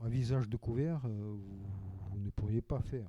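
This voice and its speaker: The man's voice has a dark, mellow tone. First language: Russian (speaking French). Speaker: novelist. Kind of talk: panel discussion. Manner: halting.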